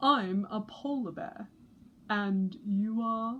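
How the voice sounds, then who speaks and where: In a put-on character voice, a woman speaks very slowly at a fairly high pitch. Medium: read story.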